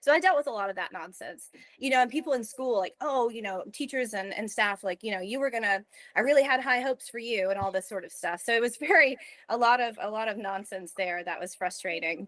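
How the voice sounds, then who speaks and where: A woman with a Southern US accent talks at a very fast pace. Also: fairly high pitch for a woman, lively intonation. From US South. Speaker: lactation consultant. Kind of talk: interview.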